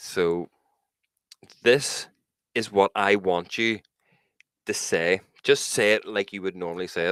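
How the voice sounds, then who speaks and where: Dry and close with no echo in a very clean recording with a silent background, a man with a strong Northern Irish accent speaks at a fairly slow pace with long, frequent pauses and a fairly low pitch. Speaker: podcast co-host. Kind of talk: casual chat. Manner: animated.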